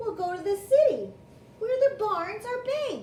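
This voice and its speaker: A put-on character voice comes through squeaky, at an extremely high pitch. It moves at a moderate pace. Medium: read story. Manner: squealing.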